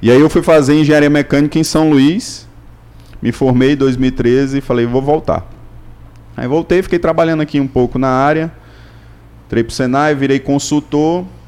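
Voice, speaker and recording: A man's fairly high voice at a moderate pace, with fairly even intonation and long, frequent pauses. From Imperatriz, Maranhão, Brazil. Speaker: mechanical engineer and business consultant. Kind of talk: casual chat.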